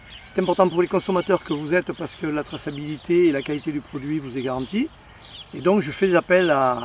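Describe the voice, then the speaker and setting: Noticeable background noise sits under a man talking at a fairly quick pace and fairly high pitch with ordinary pitch variation. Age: 60s. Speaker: organic rabbit farmer. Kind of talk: crowdfunding appeal. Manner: halting.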